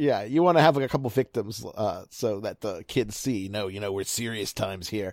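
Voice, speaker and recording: A man with a fairly low pitch and an ordinary speaking voice talks at a fairly quick pace with lively intonation and hardly any pauses, in a very clean recording with a silent background. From Baltimore area, Maryland. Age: 30s. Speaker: baseball analyst. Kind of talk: casual chat.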